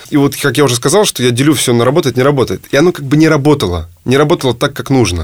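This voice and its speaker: Racing along at a very fast pace, a man speaks with lively intonation. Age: 30s. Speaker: entrepreneur. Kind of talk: interview.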